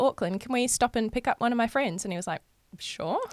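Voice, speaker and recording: A woman speaks in a New Zealand accent with lively intonation. The recording is very clean, with a silent background. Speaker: amateur baseball player. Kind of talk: casual chat.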